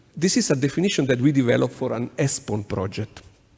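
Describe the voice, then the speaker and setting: A man speaks in an Italian accent. His pace is fairly quick. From Italy. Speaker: urban planning consultant. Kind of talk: conference presentation. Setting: conference workshop. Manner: halting, many fillers.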